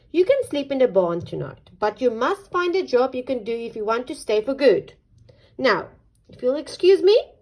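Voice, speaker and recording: A woman performs a put-on character voice at a high pitch. Her pace is moderate. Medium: read story. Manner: cross, snappy.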